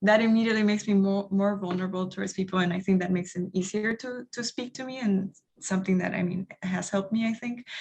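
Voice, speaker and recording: Very fast and somewhat breathy, a woman with a Spanish accent talks at medium pitch with fairly even intonation. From Honduras. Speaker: international development professional. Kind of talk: panel discussion. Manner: halting.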